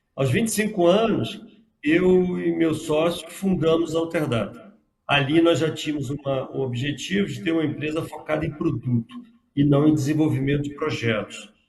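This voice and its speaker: With audible room echo around him, a man speaks at a moderate pace in a fairly high pitch, with ordinary pitch variation. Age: 60s. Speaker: software company founder. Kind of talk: interview.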